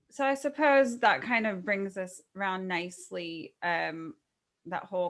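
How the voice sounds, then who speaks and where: On a very clean recording with a silent background, a woman with a medium pitch speaks at a fairly slow pace with lively intonation. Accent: Californian. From Southern California. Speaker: podcast host. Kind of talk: interview.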